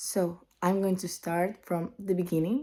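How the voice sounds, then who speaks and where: On a very clean recording with a silent background, a woman speaks at a fairly slow pace in a dark, mellow tone. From Spain. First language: Spanish. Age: 20s. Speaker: vlogger. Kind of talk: casual vlog monologue.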